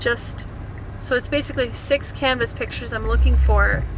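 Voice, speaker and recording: A woman with a slight Wisconsin accent at a moderate pace, amid noticeable background noise and audible room echo. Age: 40s. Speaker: vlogger. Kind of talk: casual vlog chat. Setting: in a car.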